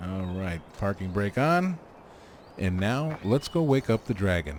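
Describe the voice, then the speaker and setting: The loud voice moves at a fairly slow pace and makes very wide pitch swings. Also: man, fairly low pitch for a man. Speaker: gaming video creator. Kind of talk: let's play commentary. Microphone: mic quiet against game sounds.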